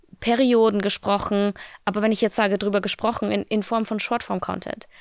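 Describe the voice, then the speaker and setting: A woman with an unremarkable speaking voice talks at a moderate pace, her pitch fairly high. The recording is very clean with a silent background and a dry, close sound with no echo. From Austria, small village. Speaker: fitness creator. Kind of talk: casual interview. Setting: studio.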